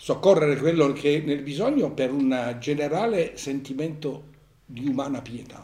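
Speaking at a moderate pace, a man uses a fairly high pitch with a dark, mellow tone and ordinary pitch variation. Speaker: philosophy professor and author. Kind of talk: book presentation talk and discussion.

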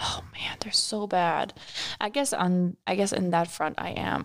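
This is a woman. She is whispering. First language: not English. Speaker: podcast co-host. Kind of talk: casual chat.

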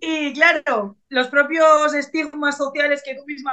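A woman's raised, projected voice, high in pitch, bright and sharp in tone, with fairly even intonation. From Bilbao, northern Spain. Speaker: pageant contestant and body-positivity advocate. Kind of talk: casual interview chat.

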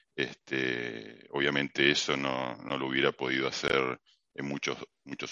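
A man speaks with a Rioplatense accent. His voice is very deep and low, and his pace is fairly slow. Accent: Argentine Rioplatense Spanish. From Argentina, Mar del Plata. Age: 50s. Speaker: technology executive. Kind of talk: interview.

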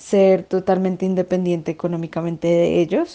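A woman's voice sits at a medium pitch and carries a dark, mellow tone. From Bogotá, Colombia. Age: 20s. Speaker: interviewee, law graduate. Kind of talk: interview. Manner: halting.

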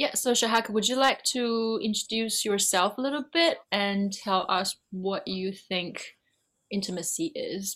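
A woman with a normal speaking voice, fairly high pitch, ordinary pitch variation, and a fairly slow pace. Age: young. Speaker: podcast co-host. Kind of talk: casual chat.

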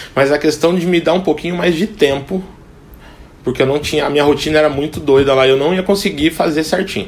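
Against noticeable background noise, a man speaks very fast in a fairly high voice with ordinary pitch variation. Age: 30s. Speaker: cook. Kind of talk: casual interview.

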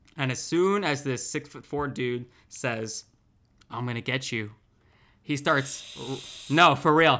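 On a very clean recording with a silent background, a man with a bright, sharp tone and fairly high pitch speaks very slowly, with long, frequent pauses, ordinary pitch variation, and big swings in loudness. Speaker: podcast co-host. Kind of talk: casual banter podcast chat.

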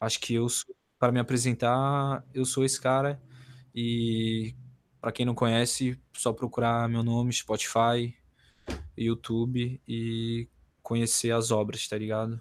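A man speaks at a medium pitch and a fairly slow pace, with long, frequent pauses and a monotone, flat intonation. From Santa Catarina, Brazil. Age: 20s. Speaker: rapper. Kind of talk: casual interview.

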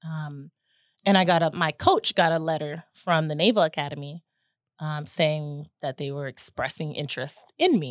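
In an American accent, the speaker's loudness swings widely while the intonation stays fairly even, on a very clean recording with a silent background and a dry, close sound without echo. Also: woman, very deep, low pitch for a woman, moderate pace. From US South, Chattanooga, Tennessee. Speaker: navy veteran. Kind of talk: interview. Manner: halting.

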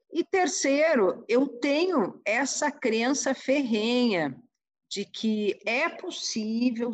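Very slow delivery with very wide pitch swings. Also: woman. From Rio Grande do Sul, Brazil (Porto Alegre). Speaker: senate director-general. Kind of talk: interview conversation.

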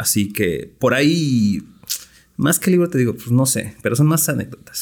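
A man's vocal fry at a moderate pace, with very wide pitch swings. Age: 30s. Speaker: craft beer brewer. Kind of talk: casual chat.

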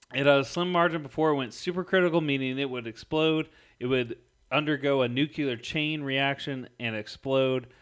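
In an American accent and an unremarkable speaking voice, a man talks at a moderate pace with a fairly high pitch and ordinary pitch variation against a quiet background. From St. Louis, Missouri. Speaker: podcast co-host. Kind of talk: casual chat.

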